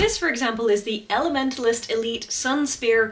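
At a moderate pace, a woman is speaking. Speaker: video creator, actor-combatant. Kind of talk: casual vlog commentary. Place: home room.

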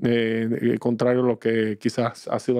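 This man's voice carries a dark, mellow tone. He talks at a moderate pace against a quiet background. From Dominican Republic. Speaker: business executive; guest. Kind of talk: interview. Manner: halting. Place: studio. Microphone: studio mic.

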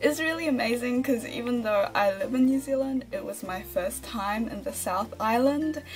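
Faint music can be heard in the background. Over it, a woman speaks at a moderate pace. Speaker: vlogger. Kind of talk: casual vlog chat. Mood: cheerful, friendly. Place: home room. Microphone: phone near.

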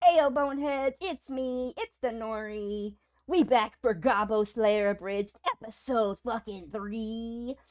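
A female-sounding voice performs a put-on character in a playful tone at a fairly high pitch, on a very clean recording with a silent background. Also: fairly slow pace. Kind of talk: hyper casual streamer banter. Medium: virtual streamer. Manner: playful, silly, teasing.

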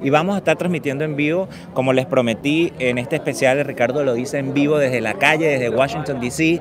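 Noticeable background noise surrounds a man's fairly high voice, with a dry sound and no echo. He talks at a fairly quick pace with hardly any pauses. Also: ordinary pitch variation. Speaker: street livestreamer and news host. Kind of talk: live event broadcast, street reporting. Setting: outdoors at a protest rally. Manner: improvised, filler-laden, halting. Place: street. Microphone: handheld.

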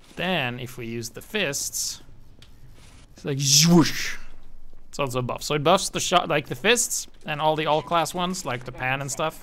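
At a moderate pace, a man with a fairly high pitch speaks with ordinary pitch variation and big swings in loudness. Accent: Norwegian. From Norway. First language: Norwegian. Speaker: gaming YouTuber. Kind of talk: gameplay commentary. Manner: casual, animated.

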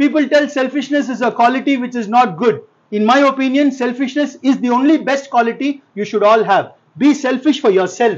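A man speaks at an extremely high pitch. His pace is fairly quick. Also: ordinary pitch variation. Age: 50s. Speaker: lawyer, motivational speaker. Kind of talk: motivational speech. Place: classroom. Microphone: lapel.

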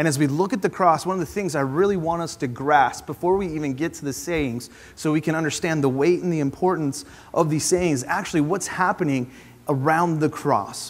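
A man speaks fairly quickly, his pitch rising and falling in a usual way. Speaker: preacher. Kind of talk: sermon. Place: church. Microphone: lapel.

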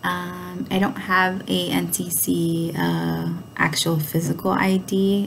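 A woman speaks with an American accent over light background noise. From New York City, Brooklyn. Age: 30s. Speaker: college student. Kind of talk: self-introduction video. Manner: halting, frequent fillers. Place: home room. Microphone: webcam.

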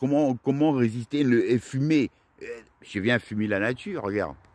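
Lively in intonation, the speech moves at a fairly slow pace with a dry, close sound and no echo. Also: man. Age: 50s. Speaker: vlogger. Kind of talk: monologue vlog. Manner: halting.

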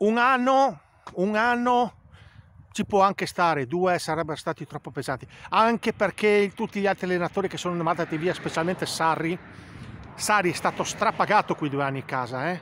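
A man speaks loudly at a moderate pace, his high pitch carrying lively intonation and long, frequent pauses. The sound is dry with no echo, over light background noise. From Italy. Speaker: football fan vlogger. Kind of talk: angry rant about the coach, heated opinion monologue to camera. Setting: home video to camera. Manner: loud, indignant, hammering the same words. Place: open country. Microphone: phone near.

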